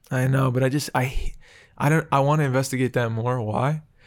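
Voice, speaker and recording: A man speaks quietly at a medium pitch. His intonation stays fairly even. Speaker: podcast co-host and actor. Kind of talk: casual chat. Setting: studio.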